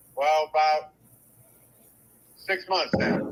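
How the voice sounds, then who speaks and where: Amid noticeable background noise, a man speaks at a high pitch and a fairly slow pace. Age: 60s. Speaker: caller. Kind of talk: casual chat.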